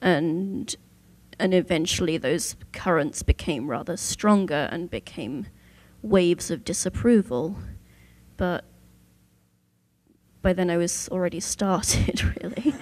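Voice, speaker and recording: With a southern English accent, a woman speaks at a fairly low pitch and a fairly slow pace, using lively intonation and long, frequent pauses. The recording is very clean, with a silent background. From southern England, Southampton. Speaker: Torah scribe. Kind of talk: panel discussion.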